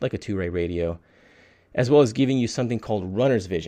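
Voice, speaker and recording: With ordinary variation in pitch, a man's dark, mellow voice stands out over a quiet background. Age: 30s. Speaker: podcast host, video game reviewer. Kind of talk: casual solo review podcast. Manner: casual, with frequent fillers and hesitations.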